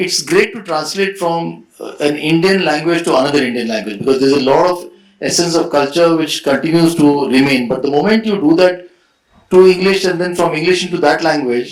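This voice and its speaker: A man speaks at a high pitch at a fairly quick pace, with ordinary pitch variation. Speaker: author and translator. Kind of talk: panel discussion.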